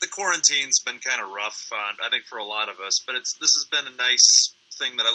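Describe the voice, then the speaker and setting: There is noticeable background noise as a man talks at a very fast pace. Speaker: podcast co-host. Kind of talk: casual chat.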